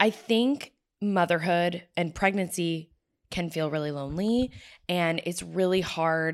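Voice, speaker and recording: A woman with a plain, everyday voice speaks at a fairly slow pace in a fairly low pitch with ordinary pitch variation, recorded very cleanly against a silent background. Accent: American. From Florida (Tampa). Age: 30s. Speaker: podcast co-host, mother. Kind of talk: casual chat. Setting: on a couch at a friend's house.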